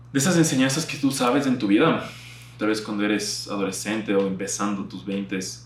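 A man at fairly low pitch with lively intonation, amid audible room echo and noticeable background noise. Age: 20s. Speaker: youtuber and podcaster. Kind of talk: casual monologue to camera.

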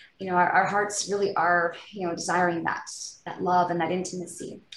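The speaker has a Canadian accent and fairly even intonation. Audible room echo and noticeable background noise surround the voice. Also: woman. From British Columbia, Canada. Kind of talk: interview, personal faith testimony.

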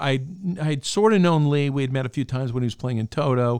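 A man with an American accent speaks at a medium pitch and a fairly quick pace. He has a plain, everyday voice. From Albany, New York. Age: 60s. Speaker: guitarist and music writer. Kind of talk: casual interview chat. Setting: music school studio.

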